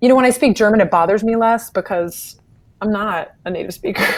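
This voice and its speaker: Fairly quick speech from a woman with an American accent and ordinary pitch variation. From US South, South Carolina. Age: 30s. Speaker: opera and art song singer. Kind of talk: interview.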